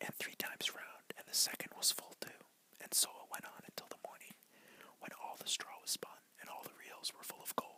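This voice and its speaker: A man whispers at a moderate pace, pausing often and at length. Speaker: ASMR creator. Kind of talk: bedtime fairy tale reading. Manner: whispered.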